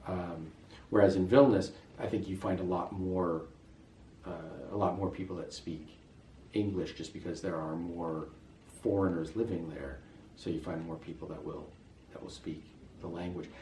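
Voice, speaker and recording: A man with a very deep, low voice and an American accent speaks at a moderate pace with fairly even intonation, long and frequent pauses, and big swings in loudness. Noticeable background noise and audible room echo fill the recording. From US West, Las Vegas. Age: 50s. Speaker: expat interviewee. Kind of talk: interview. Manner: hesitant, many fillers.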